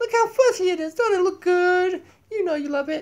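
A man puts on a cartoonish character voice and speaks at a moderate pace. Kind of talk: casual talk to camera. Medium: puppet. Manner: silly, exaggerated.

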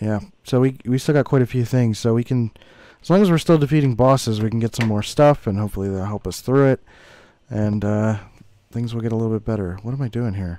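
Talking at a very fast pace, a man with a dark, mellow tone has a medium pitch and ordinary pitch variation. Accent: American. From US Northeast, Philadelphia. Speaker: gaming YouTuber. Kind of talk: gameplay commentary. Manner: casual, rambling with filler words.

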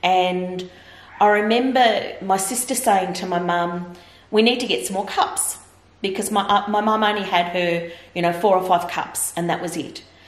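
A woman's medium-pitched voice at a moderate pace, with fairly even intonation and audible room echo. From Victoria, Australia. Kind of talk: interview answer. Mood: earnest, reflective. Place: home room.

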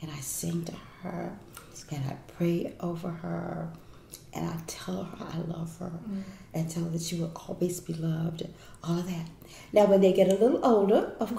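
A woman with a fairly low pitch talks at a moderate pace, with big swings in loudness and long, frequent pauses. Light background noise and audible room echo are present. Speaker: inspirational speaker. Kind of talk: interview answer. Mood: warm, smiling, affectionate. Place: kitchen.

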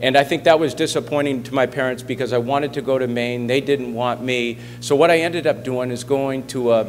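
Light background noise runs under speech delivered at a fairly quick pace. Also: man. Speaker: guest, sports coach. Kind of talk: speech to a school assembly. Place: hall. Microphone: podium.

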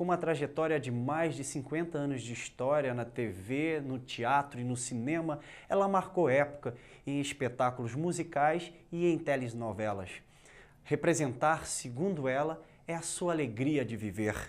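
The man has a plain, everyday voice with a fairly high pitch. He talks at a fairly slow pace with ordinary pitch variation. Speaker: TV interviewer. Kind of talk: interview. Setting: studio. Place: studio. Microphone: lapel.

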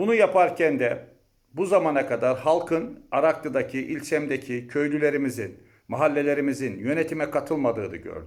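A man with an unremarkable speaking voice talks at a moderate pace. His pitch varies in an ordinary way. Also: fairly high pitch for a man. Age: 50s. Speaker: university lecturer and mayoral candidate. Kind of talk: campaign speech.

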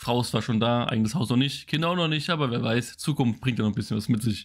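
A man with ordinary pitch variation against a quiet background. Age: 20s. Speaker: gaming YouTuber; gaming streamer. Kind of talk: casual Q&A monologue. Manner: casual, hesitant with fillers.

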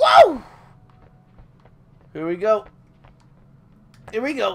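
A man speaks in a high voice with very wide swings in pitch, over noticeable background noise. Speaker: YouTube gamer. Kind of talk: let's play gameplay commentary. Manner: excitable, loud, joking.

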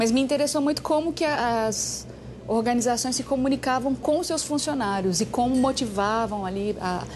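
At a moderate pace, a woman speaks in a high voice with light background noise. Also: ordinary pitch variation. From Bahia, Brazil. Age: 40s. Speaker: singer. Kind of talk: interview answer. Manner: casual, relaxed. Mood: relaxed, reflective. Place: garden.

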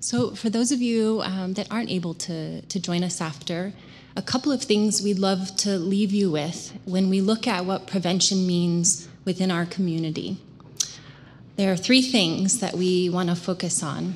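A moderate pace and ordinary pitch variation, with light background noise. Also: woman. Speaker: prevention educator. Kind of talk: community presentation. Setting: church with congregation. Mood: earnest, warm. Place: church. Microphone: podium.

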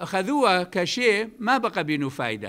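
In an Iraqi accent, a man speaks very slowly at a high pitch, his bright, sharp voice swinging very widely in pitch against a quiet background. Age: 70s. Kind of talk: religious talk. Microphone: podium.

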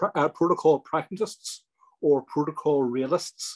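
A man with a fairly high pitch talks with ordinary pitch variation, the background quiet. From Northern Ireland. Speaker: politician. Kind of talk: webinar address. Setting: webinar. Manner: halting, many ums and ers. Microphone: video call.

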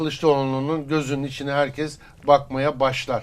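A man's monotone, flat delivery. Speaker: political commentator. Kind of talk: political interview analysis.

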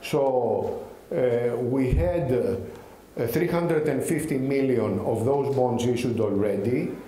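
A man with a Greek accent speaks very slowly at a medium pitch, with ordinary pitch variation and very even loudness, over light background noise and audible room echo. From Greece. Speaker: bank executive. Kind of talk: conference speech. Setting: stage at a conference. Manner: halting, many fillers and repeated words. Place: hall. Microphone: podium.

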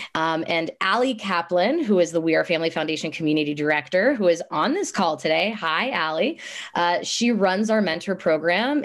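Against a quiet background, an enthusiastic woman with a fairly low pitch and lively intonation talks at a moderate pace with hardly any pauses. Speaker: nonprofit program staff. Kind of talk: presentation. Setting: video call. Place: home room. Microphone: video call.

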